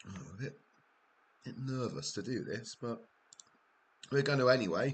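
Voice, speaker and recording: A man speaks at a moderate pace. He has a Welsh accent. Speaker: gaming live streamer. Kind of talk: live gameplay commentary. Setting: live stream. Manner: quieter than usual, concentrating.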